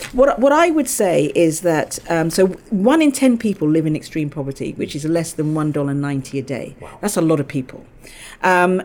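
This woman speaks with a London accent. Her pitch swings very widely. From England (London, Balham). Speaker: lawyer, general counsel. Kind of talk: interview.

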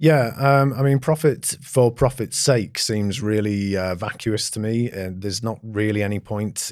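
In a very clean recording with a silent background, a man with an English accent speaks at a fairly low pitch and a moderate pace. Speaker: company founder and CEO. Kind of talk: interview conversation. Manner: hesitant, many fillers.

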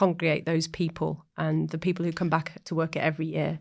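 A woman with a Yorkshire accent, fairly low in pitch with vocal fry, on a very clean recording with a silent background. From North Yorkshire, Ripon. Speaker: festival founder and organiser. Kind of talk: casual interview chat.

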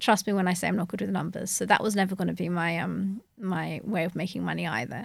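Speaking at a fairly quick pace, a woman has a medium pitch, ordinary pitch variation and vocal fry. The recording is very clean with a silent background. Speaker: dentist. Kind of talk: interview.

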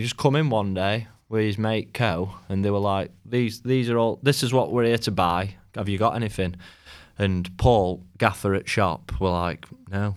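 Recorded very cleanly against a silent background, a man speaks with a South Yorkshire accent. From South Yorkshire, England (Rotherham). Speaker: clothing brand founder. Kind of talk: casual interview chat. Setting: studio.

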